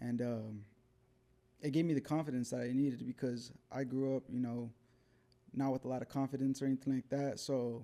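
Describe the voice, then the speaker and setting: A man talks at a fairly quick pace in a dark, mellow, relaxed tone, with very even loudness. His intonation is monotone and flat, broken by long, frequent pauses. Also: medium pitch for a man. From New Mexico (Albuquerque). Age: 30s. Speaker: professional boxer. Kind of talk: casual interview. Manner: relaxed, with many fillers.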